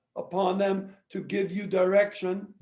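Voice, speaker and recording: A man's high voice at a fairly slow pace, with audible room echo. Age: 70s. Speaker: lawyer. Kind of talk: lecture.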